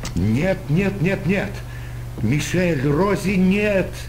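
A man does a put-on character voice at a high pitch. He talks at a very slow pace over loud background noise. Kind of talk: dramatic game dialogue. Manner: anguished, grief-stricken. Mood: anguished, despairing.

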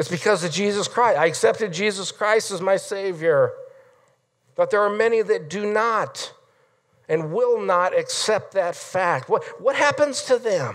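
Over a quiet background, the man speaks at a fairly slow pace. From Nebraska, US Midwest. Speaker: pastor. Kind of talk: sermon. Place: church.

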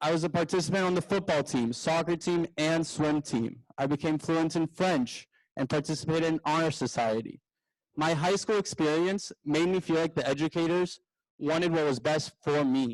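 A man's plain, everyday voice with an American accent, fairly high in pitch with ordinary pitch variation, at a moderate pace and very even loudness, in a very clean recording with a silent background and a dry, close sound with no echo. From Houston, Texas. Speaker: school board candidate. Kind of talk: candidate forum speech. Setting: forum with live audience.

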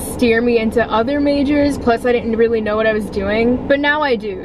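Noticeable background noise sits under a dry, echo-free sound with ordinary pitch variation. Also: woman. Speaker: vlogger. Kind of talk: casual vlog chat. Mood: relaxed, cheerful. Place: car. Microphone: phone near.

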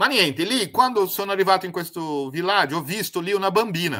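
Against a quiet background, a man with a high pitch and a bright, sharp tone talks at a moderate pace in a Brazilian accent. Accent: Brazilian Portuguese accent in Italian. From Brazil, Paraná, Italian-Mantuan family. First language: Portuguese (speaking Italian). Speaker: spiritual project founder, former lawyer; former lawyer. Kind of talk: interview testimony. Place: home room.

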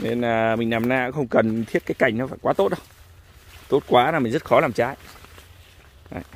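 A man speaks at a moderate pace with ordinary pitch variation. His long, frequent pauses sit in a dry sound with no echo. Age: 40s. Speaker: custard apple farmer. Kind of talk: casual orchard tutorial. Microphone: phone near.

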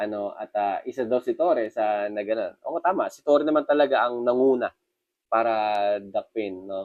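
A man's medium-pitched voice at a moderate pace. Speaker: news commentary vlogger. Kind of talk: casual news commentary vlog. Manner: hesitant, many fillers.

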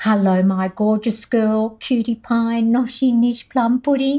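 In an Australian accent, a dark, mellow tone moves at a fairly slow pace over a quiet background. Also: woman. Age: old. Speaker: children's author and former teacher. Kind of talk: children's picture book read-aloud. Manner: warm, playful. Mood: warm, gentle, playful. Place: studio.

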